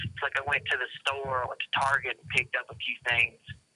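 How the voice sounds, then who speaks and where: Talking at a fairly quick pace, the speaker has a Southern US accent. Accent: Southern US accent, noticeable. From US South. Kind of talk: casual chat.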